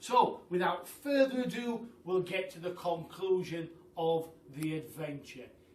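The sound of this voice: A man speaks at a high pitch with a fairly bright tone. Room echo is audible.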